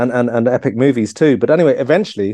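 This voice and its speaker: With an Irish accent, a man speaks in a dark, mellow tone. His pitch variation is ordinary. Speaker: author and historian. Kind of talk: casual chat. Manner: halting.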